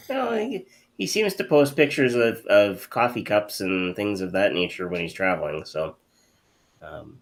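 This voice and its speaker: A man speaks at a moderate pace with a slight Canadian accent. His loudness swings widely. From Canada. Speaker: hypnotist show host. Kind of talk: casual chat.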